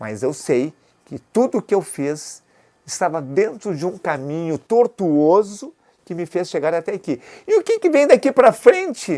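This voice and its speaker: A man speaks at a fairly slow pace in a high pitch with a dark, mellow tone, very wide pitch swings, and big swings in loudness. The recording is very clean, with a silent background and a dry, close sound with no echo. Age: 70s. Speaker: retired orthopedic doctor and health entrepreneur. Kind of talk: interview testimony.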